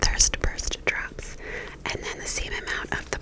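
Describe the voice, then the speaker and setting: A whisper at moderate speed, noticeable background noise underneath. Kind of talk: ASMR whispered get-ready-with-me ramble. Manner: whispered, soft-spoken.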